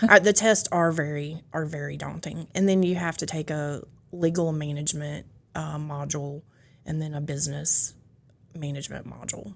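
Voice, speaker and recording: At a moderate pace, a woman with a Louisiana accent speaks in a very deep, low pitch, her intonation fairly even but her loudness swinging widely. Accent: Louisiana Southern. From US South, North Louisiana (West Monroe). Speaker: county building official. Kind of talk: casual interview chat.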